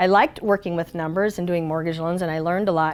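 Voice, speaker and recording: Energetic tone from a woman. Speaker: motivational speaker. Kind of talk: motivational talk, personal storytelling.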